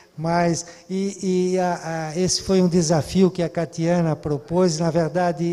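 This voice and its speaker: A man's high, flat, monotone voice at a fairly slow pace, with noticeable background noise. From southern Brazil. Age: 70s. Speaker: cultural manager. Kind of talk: talk. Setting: online event. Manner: hesitant.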